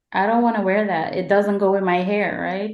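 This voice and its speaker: A woman speaks at medium pitch. She has a slight Caribbean accent. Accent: slight Caribbean lilt. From Guyana. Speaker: podcast host. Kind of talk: casual interview chat.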